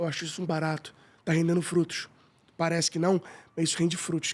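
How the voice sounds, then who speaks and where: With a Carioca accent, a man talks at a very fast pace in a monotone, flat intonation. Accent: carioca Brazilian Portuguese. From Rio de Janeiro, Tijuca. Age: 40s. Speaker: business owner. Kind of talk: podcast interview.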